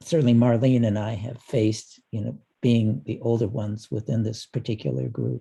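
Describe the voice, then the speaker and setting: Speaking with an American accent, a man with a medium pitch and a dark, mellow tone uses lively intonation at a moderate pace, sounding somewhat breathy. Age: 70s. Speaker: panelist. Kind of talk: panel discussion.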